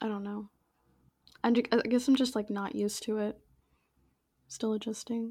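A woman talks at a moderate pace with long, frequent pauses. Her fairly high voice is somewhat breathy, dark and mellow in tone, and flat and monotone in intonation. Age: 20s. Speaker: podcast co-host, business student. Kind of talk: casual chat.

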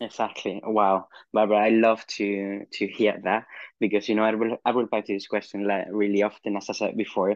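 The speech comes with a Spanish accent at a fairly quick pace. Its intonation is monotone and flat. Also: man, fairly low pitch for a man. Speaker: midwife, podcast host. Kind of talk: interview.

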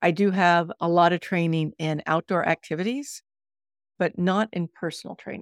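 A woman speaks at a moderate pace and a fairly low pitch, with ordinary pitch variation. The recording is very clean, dry and close, with no echo and a silent background. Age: 60s. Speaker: fitness coach and author. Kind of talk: interview. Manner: animated.

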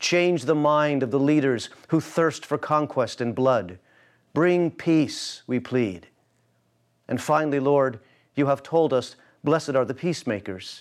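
A man with an American accent speaks in an intense, solemn tone at a fairly slow pace. His fairly high voice shows ordinary pitch variation on a very clean recording with a silent background. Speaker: pastor. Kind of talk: fervent public prayer with scripture reading. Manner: solemn, pleading, earnest; rhythmic, intense, emphatic on key phrases.

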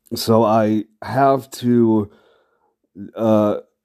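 This man has a fairly low pitch and a dark, mellow tone. The recording is very clean, with a silent background. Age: 30s. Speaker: solo podcaster. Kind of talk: casual monologue.

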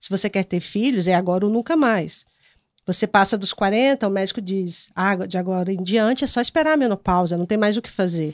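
A woman speaks in a plain, everyday voice at a medium pitch with ordinary pitch variation, talking at a fairly quick pace with a dry, close sound, no echo and a quiet background. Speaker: journalist and youtuber. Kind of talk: casual chat.

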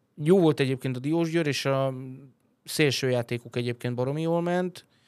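The recording of this man is very clean, with a silent background. His voice sounds dry and close with no echo, and his pitch varies in an ordinary way. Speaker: podcast host. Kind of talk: casual chat. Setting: studio.

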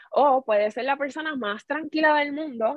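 A woman with a Puerto Rican accent at a fairly quick pace, with ordinary pitch variation. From Puerto Rico, Corozal. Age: 30s. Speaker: home care nurse supervisor. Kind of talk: radio interview.

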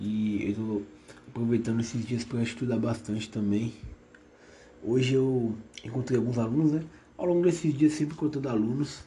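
A man speaks at a medium pitch and a moderate pace, with ordinary pitch variation and long, frequent pauses. His voice is somewhat breathy with a dark, mellow tone. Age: 20s. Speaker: history teacher, podcaster. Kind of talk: solo casual podcast monologue. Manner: hesitant, many fillers.

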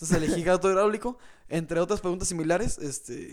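A man speaks with a high pitch. His pitch variation is ordinary. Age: 20s. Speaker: podcast co-host. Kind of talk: casual chat.

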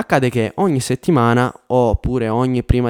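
Dark, mellow tone at medium pitch from a man. His sound is dry and close with no echo, on a very clean recording over a silent background. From Sicily, Catania area. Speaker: YouTuber and engineer. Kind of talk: advice monologue to camera.

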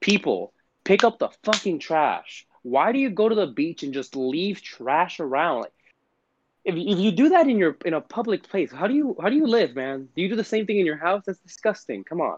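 Against a quiet background, a man with a Puerto Rican accent talks at a moderate pace in a high pitch with very wide pitch swings, the sound dry and close with no echo. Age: 20s. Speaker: podcast co-host. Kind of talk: casual chat.

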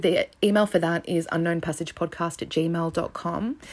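A woman with an Australian accent speaks at a moderate pace and a fairly low pitch on a very clean recording with a silent background. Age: 30s. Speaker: true crime podcast host. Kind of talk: solo podcast narration. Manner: casual, conversational.

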